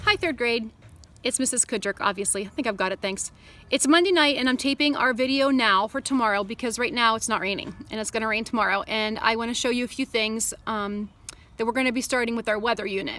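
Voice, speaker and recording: With ordinary pitch variation, the voice moves along at a very fast pace. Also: woman, fairly high pitch for a woman. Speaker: third grade teacher. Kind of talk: tutorial. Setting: outdoors.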